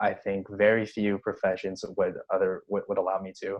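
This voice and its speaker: Against a quiet background, a man speaks fairly quickly at a fairly low pitch. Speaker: nursing student and club president. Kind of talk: casual podcast interview. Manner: halting, with many repeated words.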